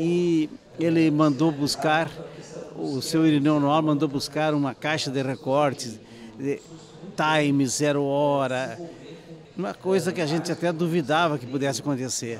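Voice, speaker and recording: A man speaks at a fairly slow pace with long, frequent pauses, his pitch fairly high. The sound is dry with no echo, and background noise is noticeable. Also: fairly even intonation. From Brazil, Santa Maria area, Rio Grande do Sul; Rio Grande do Sul, Brazil. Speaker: audience member at screening; audience member. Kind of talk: interview. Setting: book fair event. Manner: halting. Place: street. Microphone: handheld.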